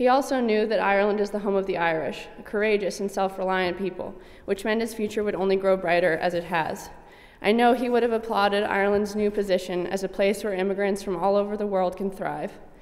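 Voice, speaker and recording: A woman with an American accent talks at a very fast pace, her intonation fairly even. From US. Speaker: speaker at event. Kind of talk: formal speech. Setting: stage with audience. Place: hall. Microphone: podium.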